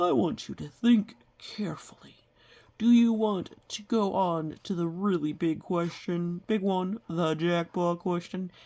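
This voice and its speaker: A female-sounding put-on character voice sits at a middle pitch and moves at a fairly slow pace. The recording is very clean, with a silent background. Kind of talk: game show host patter. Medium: read story. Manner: loud, exuberant.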